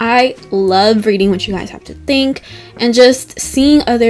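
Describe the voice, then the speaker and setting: Lively intonation from a woman with an American accent, at a moderate pace over music in the background. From US South (Georgia). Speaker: video essayist YouTuber. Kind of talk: casual outro to viewers.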